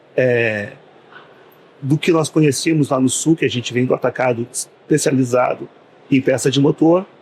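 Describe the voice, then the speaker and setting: With ordinary pitch variation, a man's speech unfolds at a fairly slow pace. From southern Brazil, Porto Alegre. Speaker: business owner. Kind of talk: podcast interview. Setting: studio at a trade fair.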